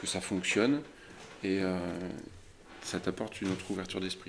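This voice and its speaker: This is a man speaking. His pitch is fairly low. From France, Loire Valley (Chinon). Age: 40s. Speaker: winegrower. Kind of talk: interview. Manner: halting, with many repetitions.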